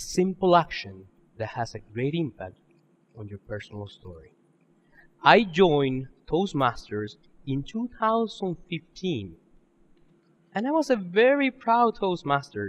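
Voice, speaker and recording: Speaking fairly slowly with long, frequent pauses, a man with a Spanish accent and a high pitch shows very wide pitch swings and big swings in loudness. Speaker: public speaking contestant. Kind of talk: contest speech.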